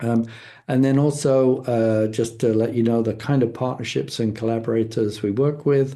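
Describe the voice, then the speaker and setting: Speaking with a London accent, a man keeps a medium pitch and fairly even intonation. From England, London. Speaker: foundation leader, guest speaker. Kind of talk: presentation. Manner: halting, many fillers.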